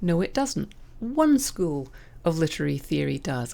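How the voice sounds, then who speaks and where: In a Scottish accent, a woman with a dark, mellow tone speaks at a moderate pace on a very clean recording with a silent background. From Scotland; raised in southern England. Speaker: podcast host, writing coach. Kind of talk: opinion monologue. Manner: animated.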